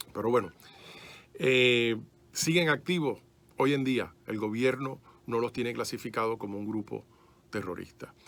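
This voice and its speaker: A man's medium-pitched, fairly slow delivery, with ordinary pitch variation and long, frequent pauses. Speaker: private detective, ex-police, speaker on esoteric history. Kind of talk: radio interview. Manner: fluent, slightly halting with fillers.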